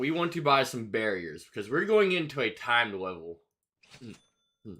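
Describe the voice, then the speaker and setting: At a moderate pace, a man talks in a relaxed tone that is also bright and sharp. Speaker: gaming streamer. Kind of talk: live gameplay commentary. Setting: livestream. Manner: casual, relaxed.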